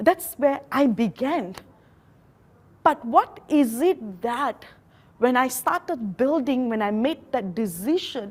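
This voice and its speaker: A woman with a high voice speaks very slowly, her pitch swinging very widely. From Malaysia. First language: Malaysian local language. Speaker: network marketing leader. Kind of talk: motivational talk. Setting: live training event with translators.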